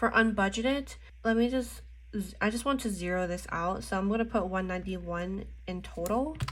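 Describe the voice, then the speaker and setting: Audible room echo surrounds this recording. A woman speaks at a fairly quick pace. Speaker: budgeting and planner vlogger. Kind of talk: casual tutorial while crafting. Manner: slurring speech.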